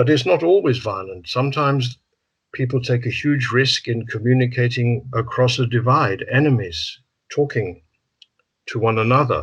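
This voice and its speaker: Here a man speaks at medium pitch and a moderate pace. His voice is somewhat breathy, with ordinary pitch variation. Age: 70s. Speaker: psychotherapist. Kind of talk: interview. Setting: video call.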